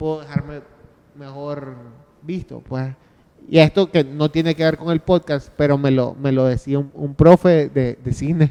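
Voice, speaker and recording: In a Nicaraguan accent, a man with a fairly high pitch speaks at a fairly slow pace in a flat monotone, the sound dry and close with no echo. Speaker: podcaster. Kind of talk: panel discussion. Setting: stage with audience. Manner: halting.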